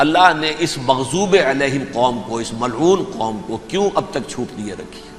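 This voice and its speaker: A man speaks with lively intonation and big swings in loudness. Noticeable background noise sits behind him. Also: medium pitch for a man. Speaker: Islamic scholar giving a religious lecture. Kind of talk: religious sermon / lecture (bayan). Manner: earnest, impassioned, explanatory.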